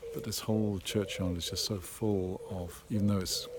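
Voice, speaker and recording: A man with an English accent speaks at a moderate pace in a fairly low pitch, with monotone, flat intonation. Audible room echo and noticeable background noise fill the recording. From England. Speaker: local resident, video blogger. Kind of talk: casual vlog narration. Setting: outdoors in churchyard. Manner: quiet.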